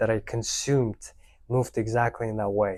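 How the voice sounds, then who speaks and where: A man's monotone, flat delivery at medium pitch with a non-native accent, on a very clean recording with a silent background. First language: not English. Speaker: language learning youtuber. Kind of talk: unscripted motivational talk to camera. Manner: spontaneous, unscripted.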